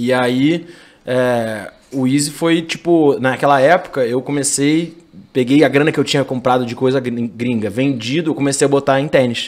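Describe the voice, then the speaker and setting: A man speaks at a fairly high pitch for a man, with ordinary pitch variation. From Rio de Janeiro, Brazil. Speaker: entrepreneur, sneaker store owner. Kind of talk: podcast interview.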